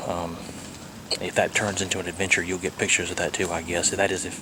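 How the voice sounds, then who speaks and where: A man with a very deep, low pitch talks at a fairly quick pace. Noticeable background noise can be heard. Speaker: RV travel vlogger. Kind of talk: casual vlog. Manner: quiet.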